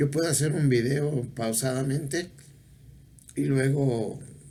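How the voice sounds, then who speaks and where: In a medium pitch, a man speaks at a very slow pace with fairly even intonation. Room echo is audible. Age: 70s. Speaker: video blogger. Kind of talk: casual monologue. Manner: halting.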